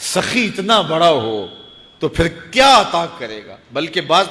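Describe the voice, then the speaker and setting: High pitch from a man, set against noticeable background noise. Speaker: Islamic preacher. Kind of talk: Islamic sermon (bayan).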